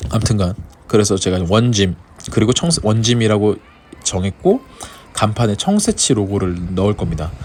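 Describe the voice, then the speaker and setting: A man talks in a fairly low pitch over noticeable background noise. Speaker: vlogger and gym owner. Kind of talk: casual vlog talk to camera. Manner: stumbling.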